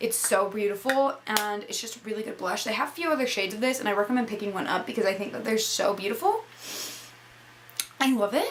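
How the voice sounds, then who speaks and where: Noticeable background noise accompanies a woman whose voice sits at a medium pitch. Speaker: beauty vlogger. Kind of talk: casual product review talk. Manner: fast; animated.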